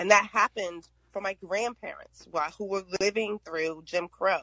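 The woman's tone is bright and sharp, and she speaks fairly slowly. The sound is dry and close, with no echo. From US, grew up in the projects. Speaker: panelist on race and trust. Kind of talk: group discussion. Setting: live audio app room. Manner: animated.

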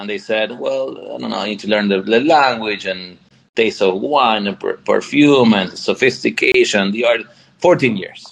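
At a moderate pace, a man speaks with a Spanish accent. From Argentina. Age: 40s. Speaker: tech company founder. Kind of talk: interview.

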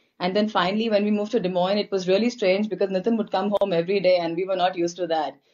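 A woman talks at a very fast pace with an Indian accent. Her intonation is fairly even. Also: medium pitch for a woman. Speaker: guest, spouse of a host. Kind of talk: casual chat.

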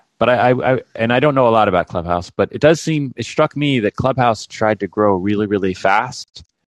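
A man with an unremarkable speaking voice, medium in pitch with ordinary pitch variation, at a fairly quick pace with hardly any pauses, the sound dry and close with no echo against a quiet background. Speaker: caller. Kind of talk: casual chat. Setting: phone call.

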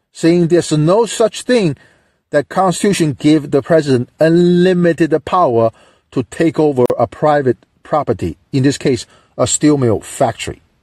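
A man with a Chinese accent and a dark, mellow tone speaks at a fairly high pitch and moderate pace with lively intonation and very even loudness, recorded dry and close with no echo over a quiet background. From China. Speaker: call-in show host. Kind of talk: political commentary monologue.

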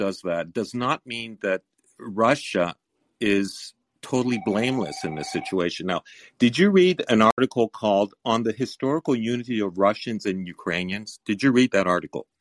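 A man with an ordinary speaking voice talks at a moderate pace and medium pitch with lively intonation, the sound dry and close with no echo. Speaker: caller. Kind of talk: call-in debate.

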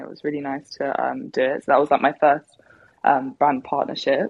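The speaker has a southern English accent. Delivery comes at a moderate pace. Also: woman. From England, Devon. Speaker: R&B singer. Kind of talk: casual interview. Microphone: clear line.

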